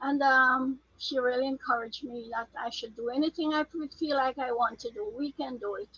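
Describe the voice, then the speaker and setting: A raised, projected voice with a bright, sharp tone, moderate pace, ordinary pitch variation and hardly any pauses. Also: woman, high pitch for a woman. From Jamaica. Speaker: record label founder. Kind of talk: interview.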